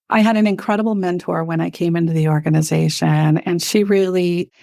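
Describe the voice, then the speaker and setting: A woman's fairly low voice with a Spanish accent, at a moderate pace with ordinary pitch variation, on a very clean recording with a silent background. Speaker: health center executive. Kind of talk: interview.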